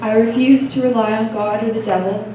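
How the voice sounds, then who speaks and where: A woman is speaking. There is noticeable background noise and audible room echo. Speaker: open mic poet. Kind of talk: poetry reading. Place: cafe. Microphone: camera far.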